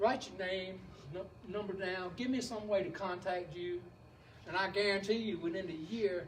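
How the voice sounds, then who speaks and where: Audible room echo surrounds a man with a Southern US accent who speaks in a high pitch with an animated tone at a moderate pace. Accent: sounds like an old Southern preacher. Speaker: beekeeping presenter. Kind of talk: lecture. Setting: beekeepers club meeting. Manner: animated, folksy.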